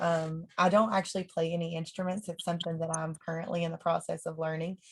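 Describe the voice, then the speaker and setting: The woman's voice is somewhat breathy. Her pitch is fairly low. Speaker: country singer. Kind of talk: casual chat.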